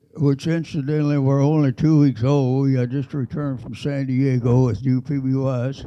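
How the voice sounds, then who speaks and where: A man with a Texan accent, fairly high in pitch and dark, mellow in tone, at a moderate pace. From Texas. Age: 80s+. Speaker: war veteran. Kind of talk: testimony.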